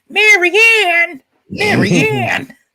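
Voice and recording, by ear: An extremely high pitch marks this put-on character voice.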